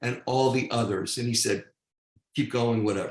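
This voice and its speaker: With an American accent, a man speaks at a medium pitch in a somewhat breathy voice. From New York, Long Island. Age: 60s. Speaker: real estate team lead and theater co-producer. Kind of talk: podcast interview storytelling. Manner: animated.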